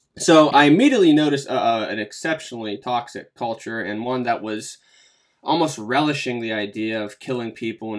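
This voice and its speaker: A medium-pitched man with an American accent and an unremarkable speaking voice, fairly quick, with lively intonation, on a very clean recording with a silent background. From western Pennsylvania. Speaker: war veteran and podcaster. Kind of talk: interview.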